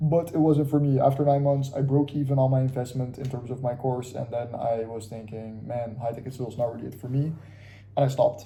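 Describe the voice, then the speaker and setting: A man at medium pitch, fairly quick and monotone, with flat intonation and audible room echo. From Curacao, Caribbean. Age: 20s. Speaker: vlogger, aspiring trader. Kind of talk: casual vlog monologue. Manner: casual, halting with fillers.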